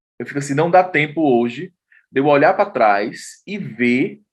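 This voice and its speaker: Speaking at a fairly slow pace, a man uses a normal speaking voice. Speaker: journalist and artist. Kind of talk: interview testimony.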